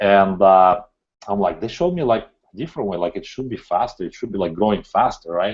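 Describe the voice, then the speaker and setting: Moving at a fairly quick pace, a man talks with a non-native accent. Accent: foreign. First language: not English. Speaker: entrepreneur. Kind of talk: interview. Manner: animated.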